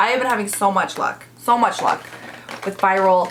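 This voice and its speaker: Medium-pitched female speech amid noticeable background noise. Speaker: beauty youtuber. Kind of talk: makeup tutorial and review. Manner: animated; starts loud, voice fades while applying makeup.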